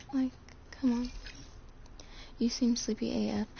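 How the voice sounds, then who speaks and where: A woman speaks quietly amid noticeable background noise. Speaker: gaming streamer. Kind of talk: casual live stream chat. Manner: talking quietly.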